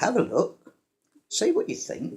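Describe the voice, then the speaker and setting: A man talks with a British accent. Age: 70s. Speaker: retired engineer and inventor. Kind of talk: casual explainer talk to camera. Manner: hesitant, many fillers.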